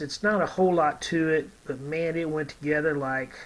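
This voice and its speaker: Fairly high in pitch, this man speaks with a Texas accent. His intonation is fairly even. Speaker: scale model builder, YouTuber. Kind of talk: casual tutorial-style review. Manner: hesitant, many fillers.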